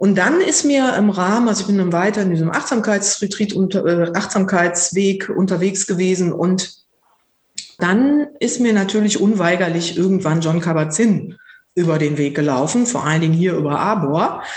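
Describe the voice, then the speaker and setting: A woman speaks at medium pitch and a moderate pace, with ordinary pitch variation and very even loudness. Audible room echo surrounds her voice. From Lower Rhine region, Germany. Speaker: psychotherapist and mindfulness teacher. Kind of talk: casual interview conversation.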